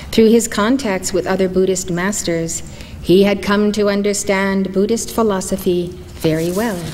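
A woman talks with fairly even intonation at a moderate pace, light background noise underneath. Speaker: spiritual teacher. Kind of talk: lecture reading a story. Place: hall. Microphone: podium.

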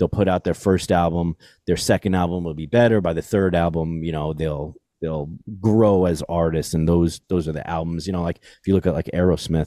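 Very deep and low in pitch, a man speaks at a fairly quick pace with fairly even intonation and a dark, mellow tone. The recording is very clean with a silent background and a dry, close sound with no echo. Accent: American. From New York City. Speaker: podcast host. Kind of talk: casual chat.

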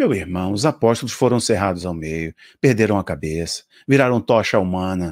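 Against a quiet background, a man speaks at a moderate pace in an animated tone. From Brazil. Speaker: preacher and video commentator. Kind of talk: religious commentary video, partly fervent prayer near 3:05. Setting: online video to camera, promoting app. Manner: fervent, passionate, emphatic; animated, rhetorical, addresses viewers directly. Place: home room. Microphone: studio mic.

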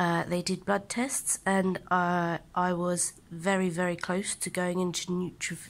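Her pitch fairly low, a woman speaks with monotone, flat intonation. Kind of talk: casual vlog chat. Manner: weak, slow, drowsy sick voice. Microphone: phone near.

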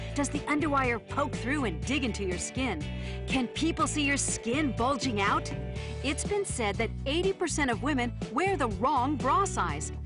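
Upbeat in tone, a woman talks at a moderate pace with music playing in the background. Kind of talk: TV infomercial read. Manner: upbeat, salesy.

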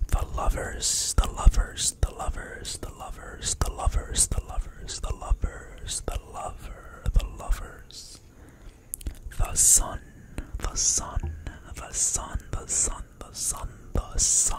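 A man whispers at a very slow pace, his loudness swinging widely. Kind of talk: repetitive ASMR whisper trigger words. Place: kitchen. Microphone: studio mic.

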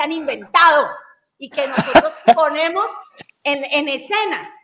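Over light background noise, a woman speaks in a raised, projected voice with lively intonation. Her pace is fairly slow. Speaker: guest. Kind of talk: interview answer. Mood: earnest, a bit wistful. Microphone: video call.

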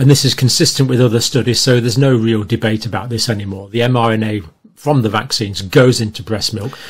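The speaker is a man with a somewhat breathy voice. His pitch varies in an ordinary way. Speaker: commentator. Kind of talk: video commentary, lecture-like. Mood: annoyed, critical. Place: home room. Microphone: webcam.

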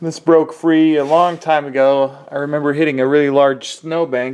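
A man talks at a moderate pace. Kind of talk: casual vlog tutorial. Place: garage. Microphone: phone near.

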